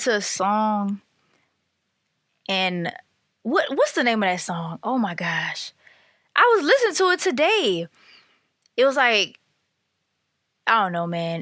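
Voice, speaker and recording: Loud and animated, a woman talks at a fairly slow pace in a fairly high, bright, sharp voice with lively intonation and long, frequent pauses. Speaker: podcaster. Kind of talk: casual monologue.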